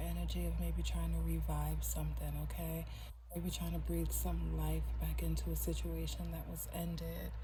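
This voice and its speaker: Soft-spoken, monotone delivery with flat intonation at a moderate pace, with audible room echo and noticeable background noise. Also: woman. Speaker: tarot reader. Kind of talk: tarot reading.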